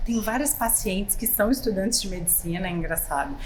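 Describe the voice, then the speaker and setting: A woman with a slight Espírito Santo accent speaks at a fairly high pitch with ordinary pitch variation, amid noticeable background noise and audible room echo. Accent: capixaba accent, slight. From Espírito Santo, Brazil. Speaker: plastic surgeon. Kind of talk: podcast interview.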